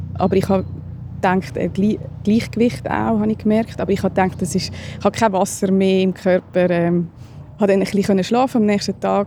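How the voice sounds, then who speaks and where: Speaking fairly quickly at medium pitch, a woman keeps her loudness very even, with noticeable background noise behind her. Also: ordinary pitch variation. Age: 30s. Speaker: stroke survivor. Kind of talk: testimony. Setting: outdoors.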